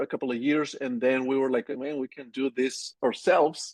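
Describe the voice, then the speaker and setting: A man speaks in a Colombian accent. His pitch is fairly high. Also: dry, close sound with no echo. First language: Spanish. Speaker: agency owner. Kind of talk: interview. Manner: halting.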